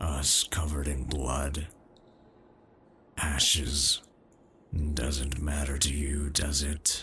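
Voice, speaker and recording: In a put-on character voice, a man speaks very slowly with a gruff, very deep, low pitch. He is soft-spoken, with very even loudness, monotone, flat intonation and long, frequent pauses. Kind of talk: ASMR comfort roleplay. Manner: toned-down gruff, soft and comforting.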